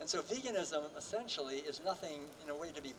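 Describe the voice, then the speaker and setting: Against noticeable background noise, a man with an American accent talks fairly quickly in a fairly high pitch with ordinary pitch variation. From Massachusetts, US. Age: 70s. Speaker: vegan author and speaker. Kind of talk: rally keynote speech. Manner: casual, with fillers.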